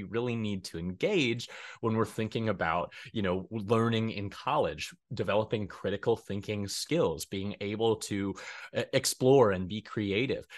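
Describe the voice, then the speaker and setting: Against a quiet background, a man speaks at a moderate pace in a medium pitch. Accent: American. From Colorado, US. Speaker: graduate student counselor. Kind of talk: interview. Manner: halting.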